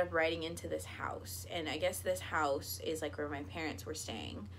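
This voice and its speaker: Audible room echo surrounds a woman whose bright, sharp tone carries vocal fry. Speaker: YouTuber. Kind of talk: storytelling vlog.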